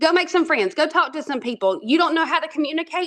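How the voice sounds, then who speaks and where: A woman with an Alabama accent speaks in a high pitch with lively intonation. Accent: Southern twang, Alabama. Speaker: network marketing trainer. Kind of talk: team training talk. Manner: animated, casual.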